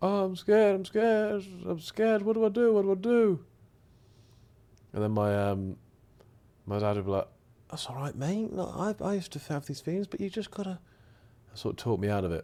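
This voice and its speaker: A man talks at a fairly quick pace but takes long, frequent pauses. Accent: English. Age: 20s. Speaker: streamer. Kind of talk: casual chat.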